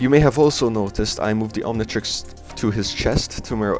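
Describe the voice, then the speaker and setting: Music plays in the background as a man with a non-native accent talks at a fairly quick pace. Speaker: art and cartoon video creator. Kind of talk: casual narration over drawing video. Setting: home recording, poor audio.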